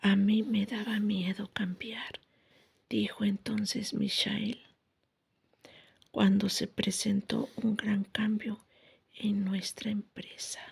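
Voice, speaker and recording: The speech moves very slowly, broken by long, frequent pauses. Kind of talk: ASMR audiobook reading.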